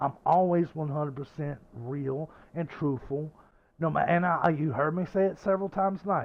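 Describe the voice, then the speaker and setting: At a moderate pace, a man with a Southern US accent speaks with a fairly high pitch and ordinary pitch variation. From US South. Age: 50s. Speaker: gaming streamer. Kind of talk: casual chat. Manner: animated.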